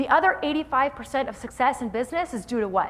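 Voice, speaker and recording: Here is a woman with a high-pitched voice and an energetic tone. She moves at a fairly quick pace with lively intonation. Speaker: motivational keynote speaker. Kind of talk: live keynote speech to audience. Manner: highly energetic.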